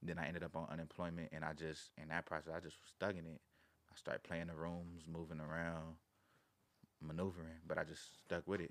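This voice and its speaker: A man speaks in a very deep, low pitch. His intonation is monotone and flat. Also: fairly quick pace. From Carson, Los Angeles area, California. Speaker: rapper. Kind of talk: casual chat.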